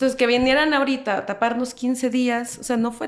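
A woman's high-pitched voice. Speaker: historian and social media creator. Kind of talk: casual chat.

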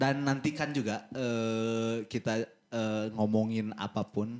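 A man talks in a fairly low pitch. His intonation stays fairly even. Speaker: podcast host. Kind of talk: casual chat.

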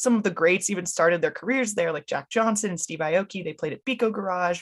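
An American accent from a woman, with ordinary pitch variation. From California, Los Angeles. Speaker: podcast host. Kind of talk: interview.

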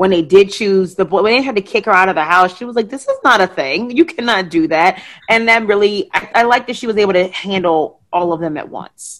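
This woman has an ordinary speaking voice with medium pitch and ordinary pitch variation. She speaks with hardly any pauses. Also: fairly quick pace. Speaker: podcast host and guest on pop culture show. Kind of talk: casual chat.

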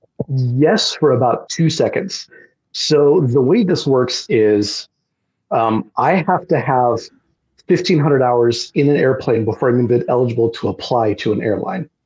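A man's somewhat breathy voice moves at a moderate pace. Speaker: airline pilot. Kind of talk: casual chat. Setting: video call.

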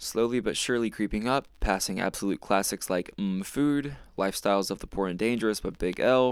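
With an American accent and a normal speaking voice, a man talks at a fairly quick pace, his fairly low pitch showing ordinary variation. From North Carolina, small town near Charlotte. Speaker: podcast host. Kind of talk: solo monologue review.

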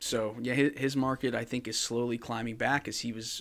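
In an unremarkable speaking voice, a man with an American accent speaks at a moderate pace, medium pitch and fairly even intonation on a very clean recording with a silent background. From New Jersey. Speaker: podcast co-host, sports card collector. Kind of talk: casual chat.

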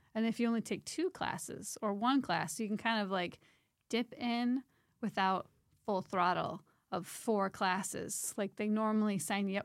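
A woman talks at a moderate pace in an ordinary speaking voice with ordinary pitch variation, on a very clean recording with a silent background. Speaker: parent of young adult. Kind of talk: casual chat.

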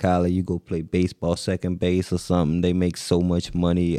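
The tone is dark and mellow, delivered at a fairly quick pace with monotone, flat intonation. The sound is dry and close with no echo, over a quiet background. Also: man. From Jacksonville, Florida. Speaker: podcast guest. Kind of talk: casual chat.

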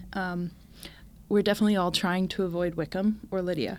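With an ordinary speaking voice, a woman at medium pitch speaks at a moderate pace in a very clean recording with a silent background. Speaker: guest, Pride and Prejudice fan. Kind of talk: casual chat.

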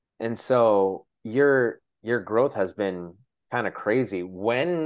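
Over a quiet background, a man speaks with an American accent and a plain, everyday voice. His pitch is fairly low, with ordinary variation. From Shoreline, Washington, US. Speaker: podcast host. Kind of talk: casual interview chat.

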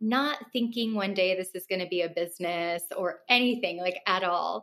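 A woman speaks with a West Coast American accent. Her pitch is medium and varies in an ordinary way. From Los Angeles, Russian family. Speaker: wellness business owner. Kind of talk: interview.

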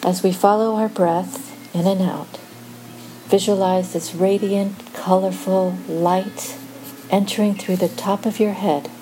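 A woman speaks in a soothing, calm tone at a fairly slow pace and medium pitch. Her pitch varies in an ordinary way, with noticeable background noise behind her. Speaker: meditation guide. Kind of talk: guided meditation. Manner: slow, soothing, calm; gentle, measured pacing with pauses.

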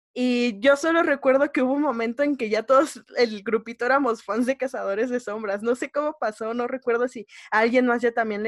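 A woman with a Mexico City accent speaks at a fairly quick pace. Her high-pitched voice sounds dry and close, with no echo. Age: 20s. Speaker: podcast co-host. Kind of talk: casual chat.

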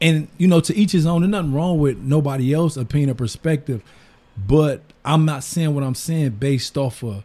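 A man's somewhat breathy, fairly high voice with an American accent, a dark, mellow tone and ordinary pitch variation. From US Midwest, Detroit east side. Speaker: entrepreneur and barber. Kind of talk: casual chat.

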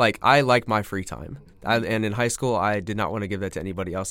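Speaking at a fairly quick pace, a man has an unremarkable speaking voice with a fairly low pitch and ordinary pitch variation. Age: 20s. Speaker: podcast guest, engaged to be married. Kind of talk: casual chat.

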